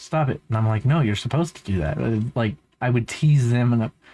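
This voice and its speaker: With a normal speaking voice, a man keeps a moderate pace and shows ordinary pitch variation. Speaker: van life vlogger. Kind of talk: casual vlog commentary. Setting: recorded voiceover in post. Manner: casual, rambling.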